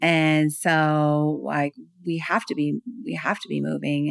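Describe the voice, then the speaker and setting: In an American accent, a woman speaks with a very deep, low pitch, the sound dry and close with no echo. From California. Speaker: speaker and author on self-love. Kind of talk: interview conversation.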